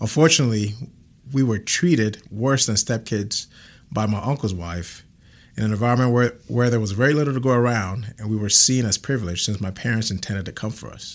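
On a very clean recording with a silent background, an ordinary speaking voice rises and falls in pitch in a normal way. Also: man, medium pitch for a man. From Ghana, then Canada from age nine. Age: 30s. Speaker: church member sharing testimony. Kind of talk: testimony.

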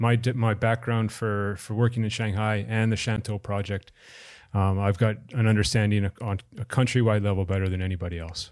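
A man with a Canadian accent uses an unremarkable speaking voice, fairly low in pitch, fairly quick and fairly even in intonation, on a very clean recording with a silent background. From Canada. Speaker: sports venue manager. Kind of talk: interview.

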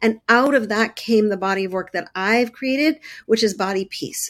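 In a Canadian accent, a woman with an unremarkable speaking voice talks at a fairly quick pace and a fairly high pitch, with ordinary pitch variation. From Canada, Montreal. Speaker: body-image coach and therapist. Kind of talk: interview conversation.

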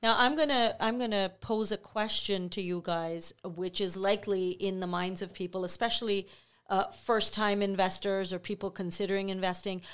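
At a moderate pace, a woman speaks in a normal speaking voice with medium pitch. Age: 50s. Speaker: real estate sales representative. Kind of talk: casual chat.

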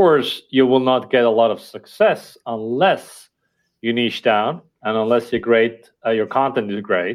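With an Estonian accent, a man talks at a moderate pace and medium pitch, with ordinary pitch variation. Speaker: company founder and CEO. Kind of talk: interview.

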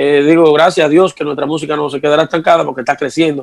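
Very fast speech from a man, fairly high in pitch, with monotone, flat intonation. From Dominican Republic. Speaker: merengue típico musician. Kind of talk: interview.

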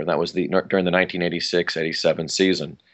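Speaking very fast with an American accent, a man keeps a very deep, low pitch and a monotone, flat intonation. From US West Coast, Los Angeles County (Pasadena area). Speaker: actor and comedian. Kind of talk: interview. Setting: remote interview.

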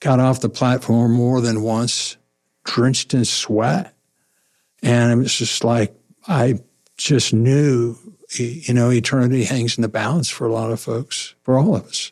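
A man speaks fairly slowly in a normal speaking voice. His pitch is medium and his intonation fairly even. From southwest Missouri. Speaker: pastor. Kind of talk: interview.

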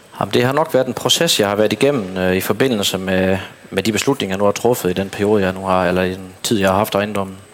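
Over noticeable background noise, a man speaks with fairly low pitch and fairly even intonation. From Southern Jutland, Denmark. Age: 30s. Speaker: dairy farmer. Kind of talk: interview on stage. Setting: stage at an event. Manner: halting.

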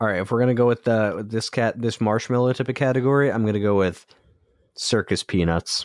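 A man speaks in an ordinary speaking voice at a medium pitch and a fairly quick pace, with very even loudness. The recording is very clean with a silent background, and the sound is dry and close with no echo. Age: 20s. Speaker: podcast host. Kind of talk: casual chat.

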